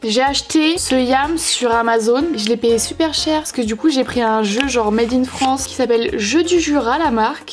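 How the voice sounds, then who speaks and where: With lively intonation and a high pitch, a woman talks at a moderate pace amid noticeable background noise. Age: 20s. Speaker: vlogger. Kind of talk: casual vlog talk to camera. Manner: animated.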